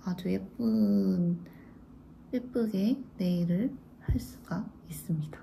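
A woman talks in an animated tone over light background noise. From South Korea. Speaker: beauty vlogger. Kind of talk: casual product review vlog. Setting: home video. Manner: animated, chatty. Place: home room. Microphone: phone near.

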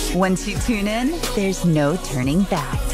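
Against clear background music, a woman speaks at a fairly slow pace. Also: dry sound with no echo. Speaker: voice actor. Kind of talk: TV promo read. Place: booth. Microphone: studio mic.

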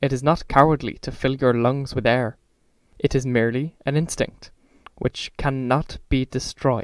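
Fairly even intonation in a natural reading voice

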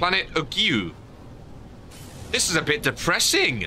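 A man talks with a British accent. Faint music plays in the background. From UK. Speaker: gaming streamer. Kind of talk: live gameplay stream commentary. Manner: animated. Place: home room. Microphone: studio mic.

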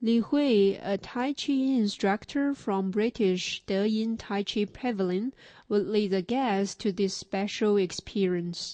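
Over a quiet background, a woman speaks very slowly in a dark, mellow, medium-pitched voice, with ordinary pitch variation and very even loudness. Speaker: news reporter. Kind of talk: scripted narration.

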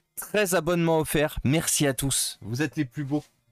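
The sound is dry with no echo, and music plays in the background. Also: man. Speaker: tech streamer repairing laptops. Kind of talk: live stream chat while repairing. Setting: live stream, home workshop. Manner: casual, hesitant with many fillers. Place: home room.

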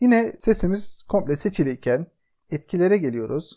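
Speech comes at a moderate pace. The background is quiet. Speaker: software tutorial narrator. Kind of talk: tutorial.

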